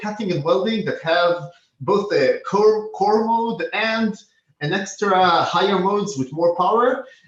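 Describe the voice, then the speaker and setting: Ordinary pitch variation in a male speaker's voice. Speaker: product manager presenting optics company. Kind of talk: product presentation. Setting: online live meeting. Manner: fast.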